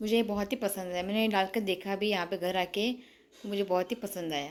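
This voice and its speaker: A woman's medium-pitched voice at a moderate pace, fairly even in intonation, on a very clean recording with a silent background. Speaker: vlogger. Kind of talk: casual vlog, shopping haul. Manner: halting, with hesitations.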